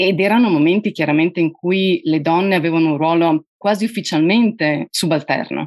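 A woman speaks at a moderate pace in a fairly low voice with ordinary pitch variation and very even loudness, hardly pausing, her dry, close sound free of echo against a quiet background. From Friuli, Udine, Italy. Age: 40s. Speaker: journalist. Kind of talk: interview.

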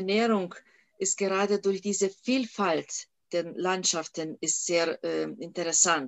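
Woman with a Lithuanian accent at a very slow pace, medium pitch, and ordinary pitch variation. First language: Lithuanian (speaking German). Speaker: national park director. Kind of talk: interview. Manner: hesitant, many fillers.

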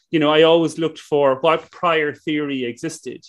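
A man's fairly high voice at a fairly quick pace. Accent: Irish. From west of Ireland. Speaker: business school professor and entrepreneur. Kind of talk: interview conversation.

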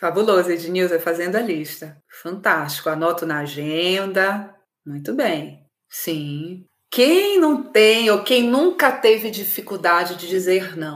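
Speaking at a very slow pace, this woman has a medium pitch and lively intonation. Her loudness swings widely. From Belém do Pará, northern Brazil. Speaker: emotional clarity facilitator, livestream host. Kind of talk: live-streamed workshop talk to viewers. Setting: live video stream. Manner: animated.

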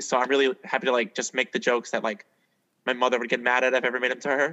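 A man is speaking. His pace is very fast. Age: young. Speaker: musical theater actor. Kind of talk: casual interview.

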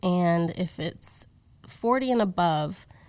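A woman is speaking. Her pitch is fairly low. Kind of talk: casual interview, personal testimony.

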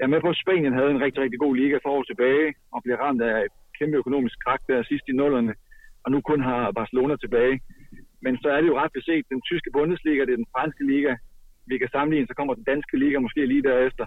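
Fairly even intonation from a man with a fairly high pitch, at a very fast pace. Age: 30s. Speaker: handball expert commentator. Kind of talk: casual chat.

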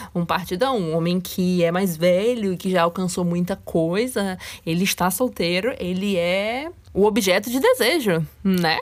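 A woman talks at a fairly slow pace, at a medium pitch. She has an ordinary speaking voice with ordinary pitch variation. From Brazil, Salvador and interior of Rio de Janeiro. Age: 20s. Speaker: podcast host. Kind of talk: solo podcast monologue.

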